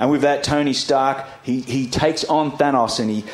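The text is read aloud plainly. Its intonation is fairly even.

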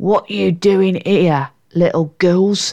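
Growling in a put-on character voice, a woman speaks at medium pitch.

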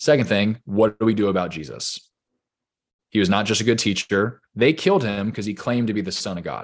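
An unremarkable speaking voice with an American accent moves at a fairly quick pace with ordinary pitch variation over a quiet background. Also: man, fairly low pitch for a man. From US West Coast, Orange County, California. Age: 30s. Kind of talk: casual interview, faith testimony.

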